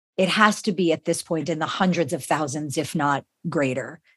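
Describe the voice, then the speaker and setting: A woman with an unremarkable speaking voice talks at a moderate pace with lively intonation against a quiet background. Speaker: podcast host. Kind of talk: interview, conversational.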